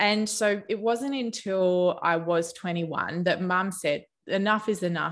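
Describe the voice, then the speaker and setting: A woman speaks with an Australian accent. The background is quiet. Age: 30s. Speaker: naturopath. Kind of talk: interview.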